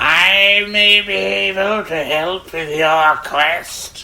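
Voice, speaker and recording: Someone uses a put-on character voice at a middle pitch and a very slow pace. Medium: read story.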